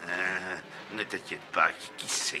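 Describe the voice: This cartoonish character voice has a bright, sharp tone and fairly even intonation at a slow pace. Faint background noise can be heard. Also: man, low pitch for a man.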